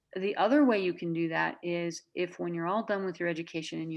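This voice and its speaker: A woman with an American accent has an ordinary speaking voice. She talks at a fairly quick pace with a fairly low pitch. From Minnesota. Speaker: nurse practitioner. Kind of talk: interview.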